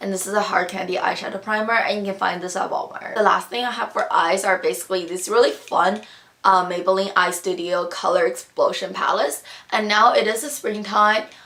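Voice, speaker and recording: Her voice sits at a medium pitch, and she talks at a fairly quick pace. Noticeable background noise is present. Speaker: beauty vlogger. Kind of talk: product review vlog. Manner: casual, rambling with fillers.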